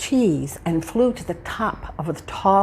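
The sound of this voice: The speaker reads in an unforced voice, and the intonation is lively.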